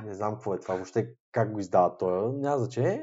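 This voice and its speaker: A man in a plain, everyday voice talks at a fairly quick pace with ordinary pitch variation. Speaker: podcast co-host. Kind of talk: casual chat.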